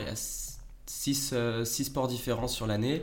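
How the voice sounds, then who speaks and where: Audible room echo around a man's fairly even intonation at a medium pitch. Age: 20s. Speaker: sports science student. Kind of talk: casual interview. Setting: podcast recording. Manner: hesitant with fillers.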